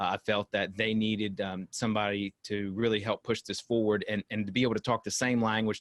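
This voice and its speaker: This man's pitch is fairly low, and he speaks with a North Carolina accent at a fairly quick pace. His intonation is flat and monotone. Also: dry, close sound with no echo. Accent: Southern US (North Carolina). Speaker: company executive. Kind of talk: interview. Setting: video call. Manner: hesitant, many fillers.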